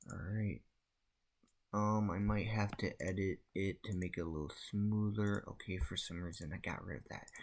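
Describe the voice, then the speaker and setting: A man mumbles in a fairly low pitch with ordinary pitch variation. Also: moderate pace. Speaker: game developer and gaming youtuber. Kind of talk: devlog tutorial. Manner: mumbling; soft-spoken.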